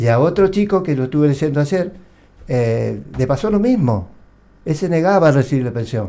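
A man talks in a Rioplatense accent at a moderate pace. His fairly high pitch swings very widely, with a dark, mellow tone. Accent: Argentine Spanish (rioplatense). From Argentina, Santa Fe. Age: 60s. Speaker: war veteran. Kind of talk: interview testimony; interview answer. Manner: halting. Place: studio. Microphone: studio mic.

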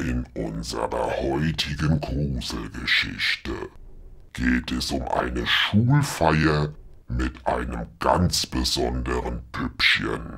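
A man's put-on character voice, extremely low in pitch with vocal fry, a fairly bright tone, ordinary pitch variation and a slow pace

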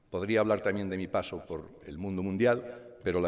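In a normal speaking voice, the talk runs at a fairly quick pace with ordinary pitch variation. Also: man. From Spain, León province. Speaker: company president. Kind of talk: award acceptance speech. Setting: stage with audience.

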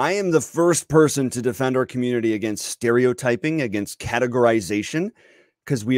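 In a dry sound with no echo and a quiet background, a man keeps a moderate pace and ordinary pitch variation. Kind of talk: casual commentary to camera. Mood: reassuring, lightly exasperated. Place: home room. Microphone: studio mic.

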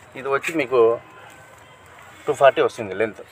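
Music plays in the background while a man speaks in a dry sound with no echo. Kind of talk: product explanation to vlogger. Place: shop.

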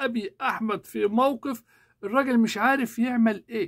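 Over a quiet background, a man with an Egyptian accent talks in an animated, raised and projected voice that is bright and sharp, extremely high in pitch, fairly slow, with ordinary pitch variation. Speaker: YouTuber and English teacher; political commentator. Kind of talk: political commentary monologue. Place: home room. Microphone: lapel.

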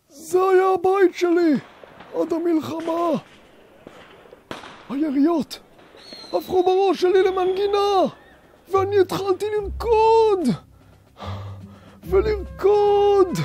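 A man puts on a character voice with an extremely high pitch. He leaves long, frequent pauses. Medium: audio drama. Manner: frantic, accusing.

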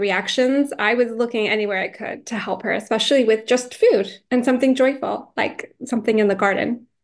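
At a fairly quick pace, a woman talks with fairly even intonation. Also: quiet background. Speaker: guest. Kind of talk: interview answer. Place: home room. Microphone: video call.

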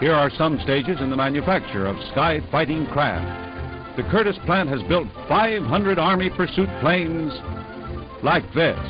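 Clear music plays behind a man with a fairly high pitch. He speaks at a fairly slow pace with very wide pitch swings. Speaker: newsreel narrator. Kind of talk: newsreel narration. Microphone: old recording.

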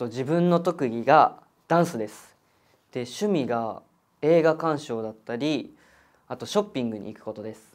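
A man with lively intonation and big swings in loudness, at a moderate pace over a quiet background. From Japan, Kanagawa; Japan. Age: 20s. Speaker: audition contestant. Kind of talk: self-introduction. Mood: calm, friendly, slightly shy. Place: studio.

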